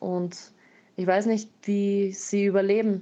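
A woman's very slow speech at medium pitch, dark and mellow in tone, with fairly even intonation. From Austria, Graz. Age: 20s. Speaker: missionary and artist. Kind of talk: interview testimony.

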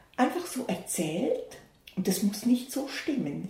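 A woman speaks at a moderate pace. Audible room echo and noticeable background noise are present. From Switzerland, Bern. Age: 60s. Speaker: pastor. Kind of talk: interview.

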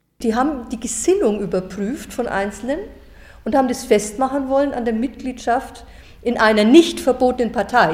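Over noticeable background noise, a woman with a fairly high voice speaks at a moderate pace with ordinary pitch variation. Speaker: retired teacher. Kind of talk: interview testimony. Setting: recorded interview in Nürnberg.

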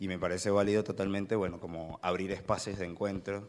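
A man with a very deep, low voice talks at a fairly quick pace in a monotone, flat way. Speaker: university lecturer, audience member. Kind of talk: audience Q&A discussion.

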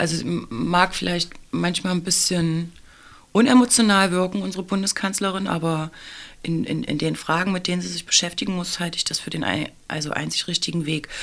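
Using ordinary pitch variation, this fairly low-pitched woman talks at a moderate pace. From Saxony-Anhalt, eastern Germany. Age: 40s. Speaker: teacher. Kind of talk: interview. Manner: hesitant, many fillers.

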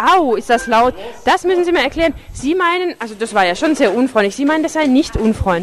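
A woman's high-pitched voice at a fairly quick pace, with very wide pitch swings and music in the background. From Tübingen, Swabia. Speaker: community radio reporter. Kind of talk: street interviews and narrated reportage. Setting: outdoors on city streets and in a club. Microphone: wind noise, poor sound quality.

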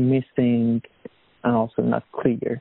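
A man at medium pitch and a very slow pace. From Iran. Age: 20s. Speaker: refugee, artist and activist. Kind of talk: interview testimony. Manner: halting.

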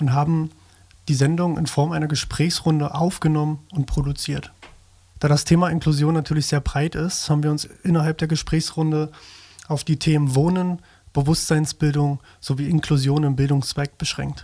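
A man speaks with monotone, flat intonation. His voice sits fairly high and sounds somewhat breathy. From small town in Germany. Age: 30s. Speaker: community radio editor. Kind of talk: round-table discussion.

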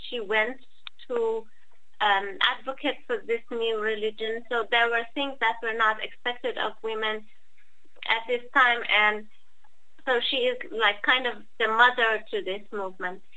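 A woman with a Persian accent speaks at a fairly slow pace in a fairly high pitch, with fairly even intonation, long and frequent pauses, and audible room echo. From Iran. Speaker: activist. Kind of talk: talk. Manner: halting.

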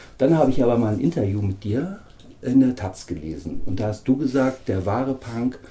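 The tone is dark and mellow. It comes across somewhat breathy. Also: man. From northern Germany. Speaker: radio interviewer. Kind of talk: interview.

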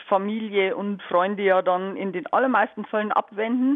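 Using a normal speaking voice, a woman speaks at a moderate pace with ordinary pitch variation. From Bavaria. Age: 50s. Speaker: volunteer prison visitor. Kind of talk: radio interview.

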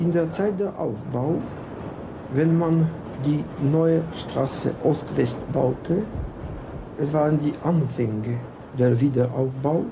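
A man's fairly high voice in a Polish accent, very slow with long, frequent pauses, very even loudness and ordinary pitch variation, with audible room echo and noticeable background noise. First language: Polish (speaking German). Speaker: architect. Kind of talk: interview. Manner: halting.

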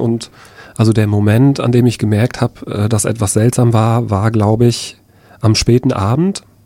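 A man talks at a moderate pace in a medium pitch with a dark, mellow tone. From Rostock-Lichtenhagen, northeastern Germany. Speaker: anti-racism trainer, eyewitness. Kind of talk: personal testimony. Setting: studio. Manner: halting, with frequent fillers.

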